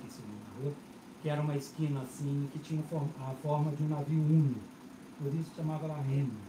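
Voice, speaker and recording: A man talks at a fairly quick pace in a fairly high pitch, his intonation flat and monotone over noticeable background noise. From Brazil, Belo Horizonte. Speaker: bookseller. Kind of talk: panel talk at bookstore event. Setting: stage with audience.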